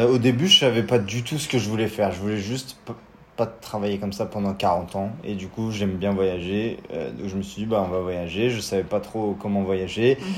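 At a moderate pace, a man speaks at a fairly low pitch over noticeable background noise. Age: 20s. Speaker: cycling traveler, engineering graduate. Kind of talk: interview.

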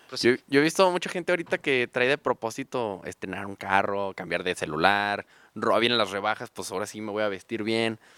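A man's fairly low voice, bright and sharp in tone, with lively intonation, a fairly quick pace and hardly any pauses, in a dry, close sound with no echo and a very clean recording over a silent background. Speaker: car salesman. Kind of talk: casual chat.

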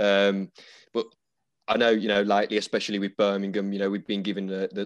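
A man with an English accent at a very fast pace, fairly low-pitched and monotone, in a dry, close sound with no echo. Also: quiet background. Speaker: podcast host and barber. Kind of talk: casual interview chat. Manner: casual, fillers.

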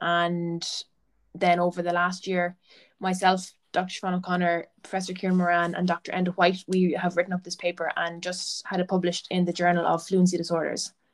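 Delivered in a flat monotone, a woman with an Irish accent and fairly low pitch talks at a fairly quick pace. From Irish Midlands (County Laois). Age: 20s. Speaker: PhD student and athletic therapist. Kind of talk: casual interview. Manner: occasional stammer, mostly fluent.

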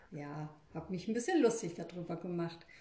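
Heard through noticeable background noise and audible room echo, a woman speaks at a fairly low pitch. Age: 50s. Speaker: energy healer and hairdresser. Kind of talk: interview.

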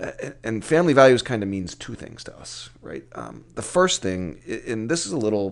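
A man at medium pitch against a quiet background. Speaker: construction company CEO. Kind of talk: casual interview. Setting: livestream. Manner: loud.

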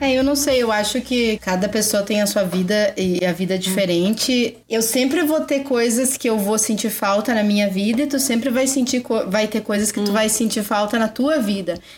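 At a moderate pace with hardly any pauses, the voice keeps very even loudness and ordinary pitch variation over noticeable background noise. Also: woman, fairly high pitch for a woman. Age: 30s. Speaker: English teacher and mother. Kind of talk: casual chat. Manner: clear diction.

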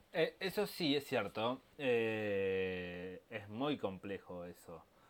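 With a Rioplatense accent, a man speaks with lively intonation. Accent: Argentine Rioplatense Spanish. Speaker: podcast co-host. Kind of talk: casual chat. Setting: home recording.

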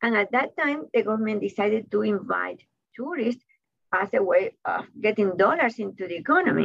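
A woman with a Cuban accent speaks at a moderate pace in a fairly high voice with vocal fry and lively intonation. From Cuba (Havana). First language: Spanish. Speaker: author and college professor. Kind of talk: interview.

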